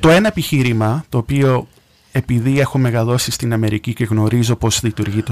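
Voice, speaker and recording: With an American accent, a man speaks at a medium pitch and a moderate pace in a dry, close sound with no echo. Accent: American accent in Greek. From US, New York. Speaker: radio contributor. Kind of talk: radio discussion.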